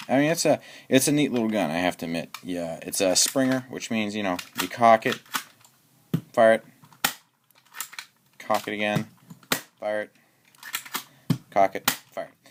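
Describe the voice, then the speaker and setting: A man speaks at a moderate pace and a fairly low pitch, with big swings in loudness. His pauses are long and frequent. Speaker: airsoft gun YouTube reviewer. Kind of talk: product review tutorial. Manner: halting, many fillers and restarts; casual.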